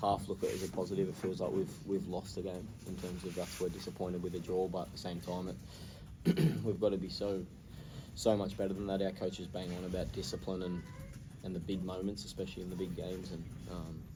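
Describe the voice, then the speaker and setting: With an Australian accent, a man talks at a fairly quick pace in a very deep, low pitch, his somewhat breathy voice carrying a dark, mellow tone and fairly even intonation. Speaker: professional footballer. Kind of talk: post-match interview answer.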